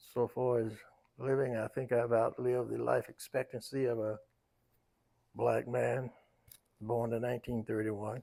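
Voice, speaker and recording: A man with a North Carolina accent speaks at medium pitch in a dark, mellow tone with monotone, flat intonation. He keeps a moderate pace, with long, frequent pauses. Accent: Southern US, North Carolina. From US South, Raleigh, North Carolina. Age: 90s. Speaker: elder interviewee. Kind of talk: life story interview.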